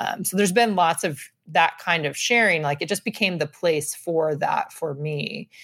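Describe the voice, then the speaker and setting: A woman's fairly low voice, an ordinary speaking voice, with ordinary pitch variation at a moderate pace. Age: 40s. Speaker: scrapbooking instructor. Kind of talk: casual chat.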